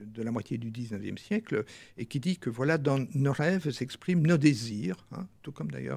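Breathiness lightly colors this man's voice. His intonation is lively. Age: 70s. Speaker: former psychoanalyst, author; former psychoanalyst. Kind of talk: interview. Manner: halting. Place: studio. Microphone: studio mic.

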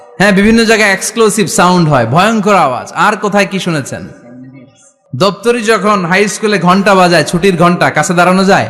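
A man with a high pitch speaks with ordinary pitch variation and very even loudness, amid audible room echo and noticeable background noise. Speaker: Islamic preacher. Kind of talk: sermon. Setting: stage with audience. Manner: animated.

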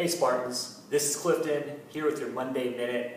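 Fairly even intonation from a male speaker, amid noticeable background noise and audible room echo. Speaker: fitness coach. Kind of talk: tutorial. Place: gym. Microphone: camera far.

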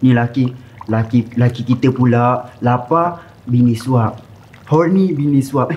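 A man talks at a very slow pace with ordinary pitch variation. His loudness stays very even. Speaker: YouTuber, cooking show host. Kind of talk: casual chat; casual banter. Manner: animated. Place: studio.

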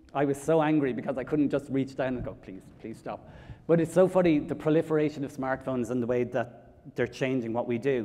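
Speaking at a fairly quick pace in an Irish accent, a man has a dark, mellow tone and ordinary pitch variation. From Ireland, County Kilkenny; Ireland. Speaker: public speaker on mental health; public speaker. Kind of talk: conference talk. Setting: stage with audience. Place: hall.

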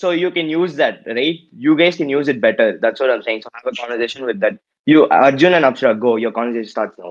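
A man at a very fast pace with hardly any pauses, fairly high in pitch, against a quiet background. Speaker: event judge. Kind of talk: casual chat. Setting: video call. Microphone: video call.

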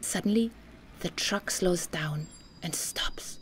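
A woman whispers at a slow pace.

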